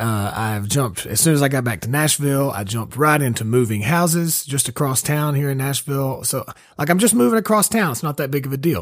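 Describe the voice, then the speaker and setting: Lively intonation marks this man's speech. He keeps a fairly quick pace. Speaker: singer-songwriter, podcast host. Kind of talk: podcast intro monologue. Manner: casual.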